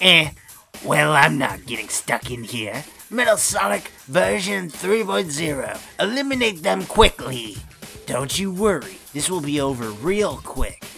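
With clear music in the background, a man performs a put-on character voice, fairly high in pitch and delivered at a fairly slow pace with very wide pitch swings. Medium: dub.

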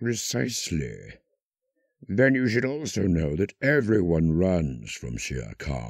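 A man uses a theatrical, menacing tone with a very deep, low pitch and very wide pitch swings, speaking at a very slow pace. The recording is very clean, with a silent background. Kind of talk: scripted villain character performance, quoting film lines. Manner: suave, silky and menacing, dripping with polite sarcasm; theatrical, with lilting posh delivery, sudden snarling outbursts and laughs.

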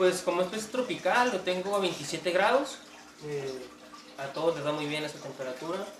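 A man speaks at a high pitch and a moderate pace with lively intonation. Light background noise and audible room echo are present. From northern Mexico (Tijuana, Baja California; born in Sonora). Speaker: aquarium hobbyist and cook. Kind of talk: casual interview. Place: home room. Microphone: camera far.

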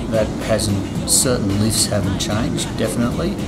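A man at a fairly slow pace over background music. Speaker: conditioning coach. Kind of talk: interview answer. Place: gym. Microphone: lapel.

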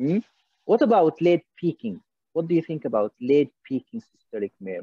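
Speaking with an Arabic accent, a man uses a fairly high voice with very wide pitch swings at a fairly quick pace. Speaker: cardiologist leading an MCQ teaching session. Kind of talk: interactive lecture. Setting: video call.

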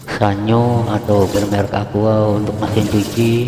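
Noticeable background noise accompanies a man's voice. He speaks at a fairly low pitch in a monotone with flat intonation. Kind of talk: tutorial. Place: workshop. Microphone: phone near.

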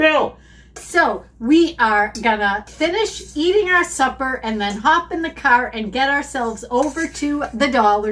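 Talking at a fairly slow pace, a woman uses a high pitch. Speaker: shopping vlogger. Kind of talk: casual vlog chat. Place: kitchen. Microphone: camera far.

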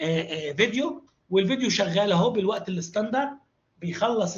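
Using lively intonation, a man with an Egyptian accent speaks at a moderate pace. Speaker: university lecturer and e-learning trainer. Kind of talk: online training tutorial.

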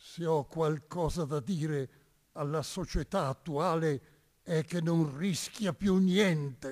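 Very slowly, a man speaks at a fairly high pitch. The background is quiet. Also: ordinary pitch variation. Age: 90s. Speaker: priest and Resistance veteran; witness. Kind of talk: testimony. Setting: stage with audience. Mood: warm, smiling, reflective. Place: stage. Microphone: podium.

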